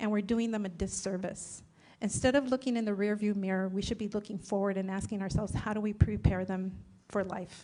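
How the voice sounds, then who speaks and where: In a Spanish accent, a woman with a medium pitch and a dark, mellow tone speaks at a fairly quick pace with monotone, flat intonation. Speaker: political candidate. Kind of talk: candidate forum answer. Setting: public forum at a college.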